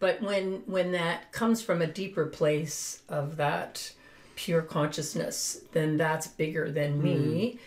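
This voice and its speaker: Somewhat breathy and fairly low, a woman's voice moves at a very slow pace with very even loudness and ordinary pitch variation. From Finland. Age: 70s. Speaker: spiritual guide and business owner. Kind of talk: interview.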